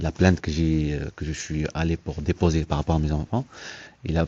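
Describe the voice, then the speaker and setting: A soft-spoken man's very deep, low voice, dark and mellow in tone, at a moderate pace with a dry, close sound and no echo. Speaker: father seeking help with letters. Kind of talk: conversation at an assistance office. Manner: halting, many hesitations.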